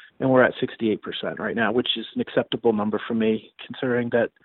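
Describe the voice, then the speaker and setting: An ordinary speaking voice from a man, medium in pitch, with an American accent, fairly even intonation and a fairly quick pace. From Maine, US (Augusta). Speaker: bankruptcy attorney. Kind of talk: interview.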